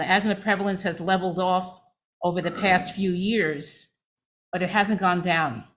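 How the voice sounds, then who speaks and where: This recording is very clean against a silent background. A woman's voice sits at a medium pitch. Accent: New York. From New York City, Manhattan. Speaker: physician. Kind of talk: lecture.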